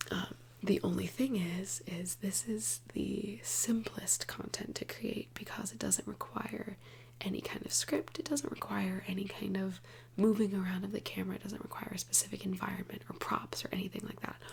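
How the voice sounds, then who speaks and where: A soft-spoken woman talks at a moderate pace against noticeable background noise. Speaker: ASMR creator. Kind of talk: soft-spoken ASMR ramble to camera. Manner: soft-spoken, casual, rambling.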